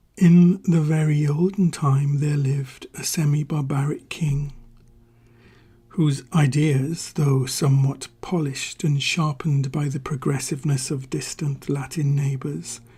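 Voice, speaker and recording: A man talks in a dark, mellow tone that is somewhat breathy. His intonation stays fairly even. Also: fairly high pitch for a man. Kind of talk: ASMR story reading. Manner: soft-spoken, slow.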